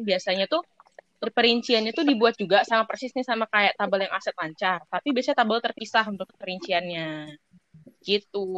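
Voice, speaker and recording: Recorded dry and close with no echo, a woman with a fairly high pitch speaks at a fairly quick pace with lively intonation. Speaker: business student. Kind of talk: peer explanation. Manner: hesitant, many fillers.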